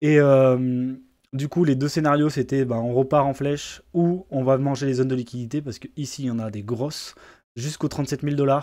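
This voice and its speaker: Fairly quick, fairly even speech from a man at medium pitch, on a very clean recording with a silent background. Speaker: crypto market analyst. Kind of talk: market analysis tutorial. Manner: fast; hesitant, many filler words.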